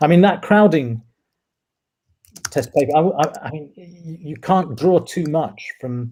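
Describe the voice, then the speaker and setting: Somewhat breathy and dark, mellow in tone, this voice moves at a fairly slow pace with a British accent. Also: man. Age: 60s. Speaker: cosmologist. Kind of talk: casual chat. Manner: halting, many fillers and repeats.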